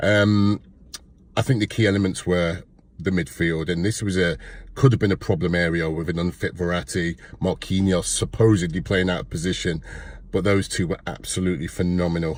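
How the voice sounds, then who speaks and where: A man's very deep, low voice with an East Midlands accent, fairly quick pace and fairly even intonation. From Leicester, England. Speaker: football fan commentator. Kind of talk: casual match review to camera.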